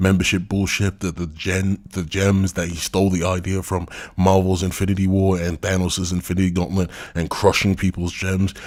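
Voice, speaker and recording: In a very clean recording with a silent background, a man with very deep, low pitch speaks at a moderate pace in monotone, flat intonation. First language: not English. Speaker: commentary YouTuber. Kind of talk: critical commentary video. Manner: casual, profane rant.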